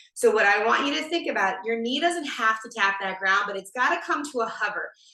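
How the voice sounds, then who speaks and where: Amid audible room echo, a woman speaks in a fairly high, energetic voice with a bright, sharp tone. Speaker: fitness instructor. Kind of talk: live fitness class instruction. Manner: energetic, encouraging.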